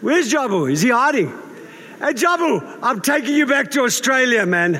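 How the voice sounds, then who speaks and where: A man's raised, projected voice amid noticeable background noise. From South Africa. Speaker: pastor. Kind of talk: sermon. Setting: church. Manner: informal, humorous.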